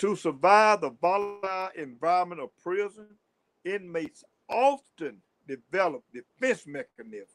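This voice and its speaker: A man with a Southern US accent speaks at a fairly slow pace in a high voice, his pitch swinging very widely and his loudness rising and falling sharply, with long, frequent pauses and a dry, close sound free of echo. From US South. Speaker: livestream host, former prisoner. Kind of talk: livestream talk. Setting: livestream. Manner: stuttering at times; animated.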